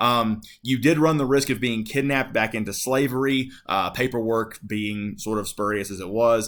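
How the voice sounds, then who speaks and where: A plain, everyday voice with an American accent, fairly even intonation and a moderate pace. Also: man, very clean recording, silent background. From Appalachia, North Carolina-Tennessee border. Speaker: high school history teacher. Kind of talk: lecture. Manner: casual, many fillers (um, uh, like).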